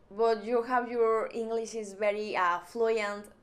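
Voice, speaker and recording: Speaking at a very slow pace, a woman with a strong Mexican accent uses a fairly high pitch. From Mexico. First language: Spanish. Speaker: YouTuber. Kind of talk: vlog monologue.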